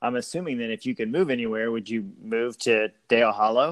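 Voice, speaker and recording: Talking fairly quickly, a man with an ordinary speaking voice uses a medium pitch with ordinary variation. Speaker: school staff podcast host. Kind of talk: casual interview. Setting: remote call.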